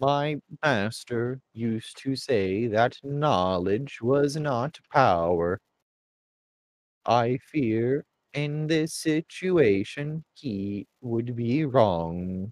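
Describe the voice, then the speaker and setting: Using a put-on character voice, a man speaks very slowly at medium pitch. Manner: formal, measured.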